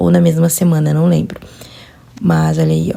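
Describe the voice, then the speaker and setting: A woman keeps up a fairly quick pace while noticeable background noise runs beneath her. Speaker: vlogger, new mother. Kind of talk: personal vlog narration. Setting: at home, baby nursing.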